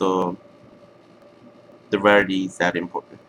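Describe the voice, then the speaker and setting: A man with a non-native accent at a fairly slow pace, over noticeable background noise. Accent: foreign. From outside the US. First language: not English. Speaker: card game player. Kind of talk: deck profile tutorial. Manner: halting, many fillers.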